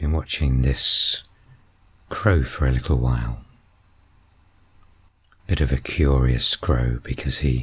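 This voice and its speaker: Over noticeable background noise, a man with a very deep, low pitch speaks in a calm, relaxed tone at a very slow pace, with very even loudness, fairly even intonation and long, frequent pauses. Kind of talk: nature video commentary.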